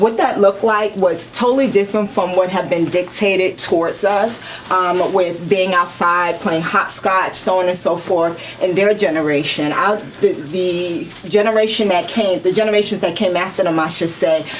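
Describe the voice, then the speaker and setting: Over noticeable background noise, a woman at medium pitch talks at a moderate pace with fairly even intonation. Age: 50s. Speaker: spokesperson for a senior dance group. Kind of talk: interview.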